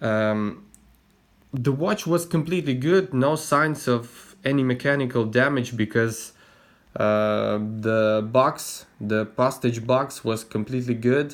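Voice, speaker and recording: A man speaks at a very slow pace and a medium pitch. His loudness stays very even, with ordinary pitch variation. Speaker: watch hobbyist vlogger. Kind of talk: casual explanatory vlog. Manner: slow, hesitant with fillers.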